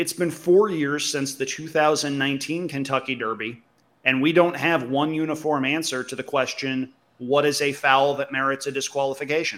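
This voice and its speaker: The recording is very clean, with a silent background. A plain, everyday voice talks at a moderate pace, its intonation fairly even. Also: man, fairly high pitch for a man. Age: 30s. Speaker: horse racing podcast co-host. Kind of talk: casual chat.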